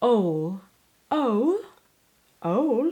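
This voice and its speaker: A woman with a British accent speaks with very wide swings in pitch. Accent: British-leaning English. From Sweden. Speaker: language learner trying pronunciations.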